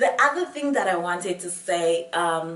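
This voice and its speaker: A woman speaks in an animated tone with ordinary pitch variation. Audible room echo surrounds her voice. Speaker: beauty and lifestyle vlogger. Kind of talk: casual vlog talk to camera.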